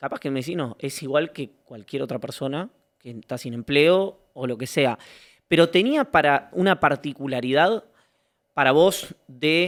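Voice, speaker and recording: With a Rioplatense accent, a man speaks at a fairly high pitch with big swings in loudness, in a dry, close sound with no echo. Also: ordinary pitch variation, fairly slow pace. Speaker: interviewer. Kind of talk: long-form interview.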